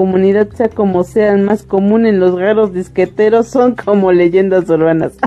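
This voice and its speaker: With a central Mexican accent, a woman has a dark, mellow tone and ordinary pitch variation. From central Mexico. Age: 40s. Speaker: live streamer. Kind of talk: casual chat. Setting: live stream.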